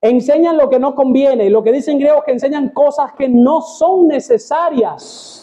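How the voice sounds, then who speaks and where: With an animated tone and hardly any pauses, a man talks at a moderate pace in an extremely high voice, his pitch varying in an ordinary way and his loudness very even. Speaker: pastor. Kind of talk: sermon.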